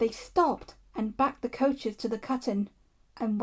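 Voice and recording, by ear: This is someone reading aloud in a natural voice. The words are read rather than spoken freely.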